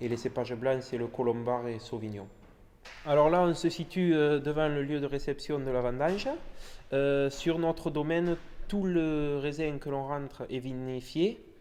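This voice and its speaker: A man's fairly high voice, an ordinary speaking voice, with ordinary pitch variation at a fairly slow pace. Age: young. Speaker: winegrower. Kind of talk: interview.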